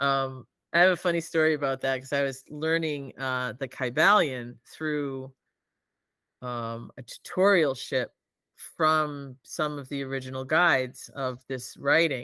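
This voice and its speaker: Over a silent background on a very clean recording, a woman with a very deep, low pitch and a bright, sharp tone talks at a fairly slow pace with fairly even intonation. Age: 60s. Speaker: artist and channeler. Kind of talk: casual chat.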